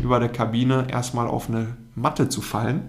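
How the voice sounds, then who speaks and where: This man speaks at a medium pitch with a monotone, flat intonation. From Germany, Münsterland (Telgte). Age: 20s. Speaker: former pro goalkeeper, consultant. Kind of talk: interview. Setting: office.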